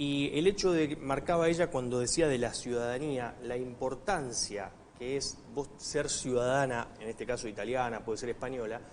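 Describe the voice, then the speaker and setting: A medium-pitched man with an Argentine accent, moderate in pace, with hardly any pauses. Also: ordinary pitch variation. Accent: Argentine Spanish (Rioplatense). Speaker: TV show host. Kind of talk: studio discussion.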